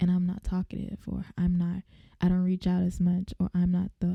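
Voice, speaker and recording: A woman speaks in a medium pitch with a dark, mellow tone. Her somewhat breathy voice has a dry, close sound with no echo. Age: 20s. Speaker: podcast host. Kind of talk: casual monologue. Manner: animated.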